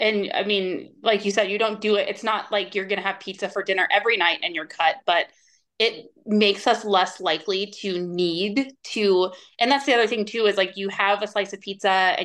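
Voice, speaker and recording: A woman speaks at a moderate pace with an ordinary speaking voice and medium pitch. Her intonation is fairly even, and the background is quiet. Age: 40s. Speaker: nutrition coach. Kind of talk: casual interview.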